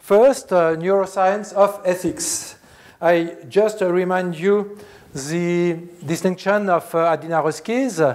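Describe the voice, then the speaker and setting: Over noticeable background noise, a man with a Swiss French accent talks at a very slow pace, his pitch high and its variation ordinary. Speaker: philosophy professor. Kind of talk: lecture. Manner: halting, many filler sounds.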